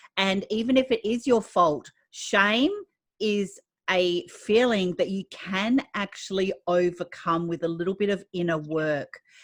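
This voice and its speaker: At a fairly slow pace, a woman talks in a normal speaking voice with medium pitch and ordinary pitch variation. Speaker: podcast host. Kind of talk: podcast interview host.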